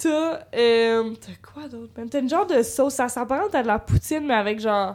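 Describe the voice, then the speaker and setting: A woman with a Quebec accent speaks at a moderate pace. Her pitch is high and her intonation lively. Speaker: psychology student, podcast guest. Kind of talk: casual chat.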